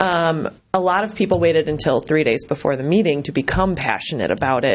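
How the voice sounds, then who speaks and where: Talking at a fairly quick pace, a woman has a fairly low pitch with ordinary variation. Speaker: resident speaking at council meeting. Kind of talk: public comment. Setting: city council meeting. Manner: fast; hesitant, many ums.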